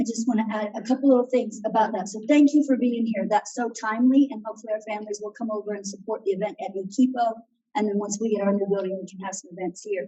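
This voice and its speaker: This woman talks at a very fast pace with a fairly high pitch, a somewhat breathy sound, hardly any pauses and big swings in loudness. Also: fairly even intonation. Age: 60s. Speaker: school principal. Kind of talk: meeting remarks.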